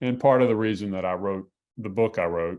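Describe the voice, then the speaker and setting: A man's fairly low voice, with fairly even intonation, sits in a very clean recording over a silent background. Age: 60s. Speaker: journalist and bereaved father, symposium panelist. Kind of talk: panel talk. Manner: halting.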